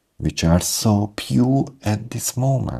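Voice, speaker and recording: A man's very slow speech with a non-native accent. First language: not English. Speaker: English speaking coach. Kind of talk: motivational talk to camera. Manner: halting, broken phrasing.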